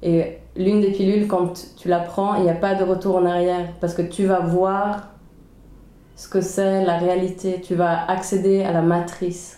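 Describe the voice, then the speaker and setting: A woman with a medium pitch speaks in a monotone, flat intonation at a fairly slow pace, with audible room echo. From Sweden (Stockholm), then Geneva from age 11. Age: 20s. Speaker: podcast co-host. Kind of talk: casual chat. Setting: home kitchen.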